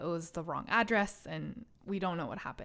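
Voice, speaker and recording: A woman speaks at a medium pitch with a Korean accent. The recording is very clean, with a silent background. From South Korea. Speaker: podcast host, scientist. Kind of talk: casual personal storytelling monologue. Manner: animated, conversational.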